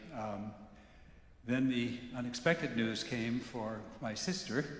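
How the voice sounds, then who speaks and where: A man at medium pitch and a very slow pace, with audible room echo and noticeable background noise. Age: 70s. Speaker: congregation member. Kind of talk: testimony. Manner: halting.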